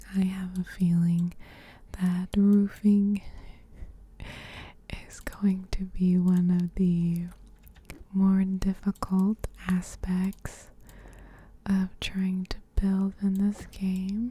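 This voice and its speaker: A soft-spoken woman's voice, medium in pitch, dark and mellow in tone, somewhat breathy, with monotone, flat intonation, a very slow pace and long, frequent pauses. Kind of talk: ASMR gameplay narration. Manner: soft-spoken, slow, relaxing.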